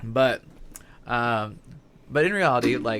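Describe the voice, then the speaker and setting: A man with an American accent at a medium pitch, very slow pace and ordinary pitch variation. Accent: slight Southern, stronger when stressed. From Southern Indiana. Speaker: podcast host. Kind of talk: casual chat.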